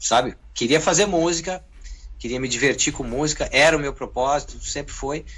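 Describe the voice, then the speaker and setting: At a moderate pace, a man talks with vocal fry. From southern Brazil (Rio Grande do Sul). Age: 40s. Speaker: guitarist and music producer. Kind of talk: interview.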